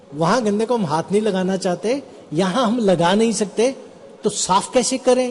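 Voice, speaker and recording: Through noticeable background noise, a man speaks at a high pitch with ordinary pitch variation. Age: 60s. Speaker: health seminar presenter. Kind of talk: seminar talk.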